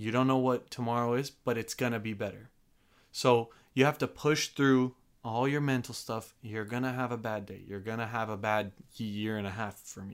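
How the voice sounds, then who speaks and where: An ordinary speaking voice moves at a moderate pace with fairly even intonation and big swings in loudness. The recording is very clean, with a silent background. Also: man, medium pitch for a man. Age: 20s. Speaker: church operations worker. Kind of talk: casual chat. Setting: studio.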